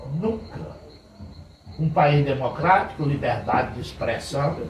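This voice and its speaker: Over noticeable background noise and audible room echo, a man speaks fairly slowly at a fairly high pitch with ordinary pitch variation. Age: 70s. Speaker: pastor. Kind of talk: informal sermon talk to church men's group. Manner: conversational.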